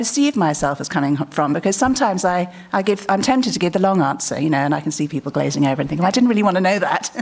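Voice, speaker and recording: Someone with a British accent talks at a very fast pace with very wide pitch swings over noticeable background noise. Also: woman. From England. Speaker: conference speaker. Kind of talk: conference talk.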